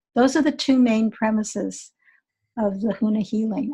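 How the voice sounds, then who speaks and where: The voice is somewhat breathy and moves at a moderate pace, on a very clean recording with a silent background. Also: woman. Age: 70s. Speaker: energy healer and teacher. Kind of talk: interview.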